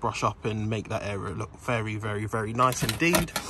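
The voice is somewhat breathy. Light background noise runs underneath. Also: man, dry sound with no echo. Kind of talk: casual vlog chat. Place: car. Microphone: phone near.

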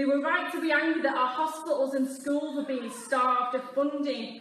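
Over light background noise and audible room echo, a woman speaks at a moderate pace in a high voice with monotone, flat intonation. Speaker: politician at rally. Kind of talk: political speech.

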